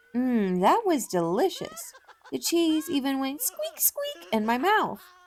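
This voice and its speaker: Putting on a character voice, a woman speaks fairly slowly at a high pitch. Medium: game stream.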